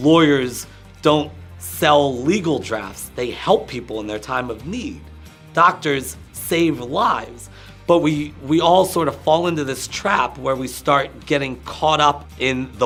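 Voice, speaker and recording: Over music in the background, the voice moves at a fairly slow pace with very wide swings in pitch. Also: man. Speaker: motivational speaker, coach, consultant. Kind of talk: interview answer.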